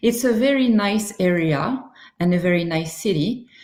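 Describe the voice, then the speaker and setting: A woman speaks with a French accent at a medium pitch. Her pitch varies in an ordinary way. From France. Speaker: university recruitment manager. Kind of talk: webinar presentation. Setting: online webinar with screen sharing. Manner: hesitant, many fillers.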